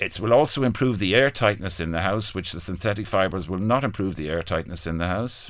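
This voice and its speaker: Talking at a fairly quick pace, a man swings very widely in pitch on a very clean recording with a silent background. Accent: Irish. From Ireland. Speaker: business owner. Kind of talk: interview. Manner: halting, repetitive.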